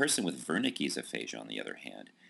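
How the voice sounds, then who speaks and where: At a fairly quick pace, a man speaks with a bright, sharp tone and vocal fry. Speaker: college lecturer. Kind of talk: recorded lecture.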